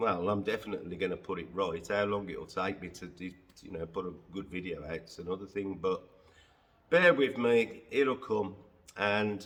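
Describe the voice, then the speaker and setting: Very deep, low-pitched man with an English accent, moderate pace and ordinary pitch variation. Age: 60s. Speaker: car detailer. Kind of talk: casual vlog monologue. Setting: workshop. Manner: hesitant, many fillers.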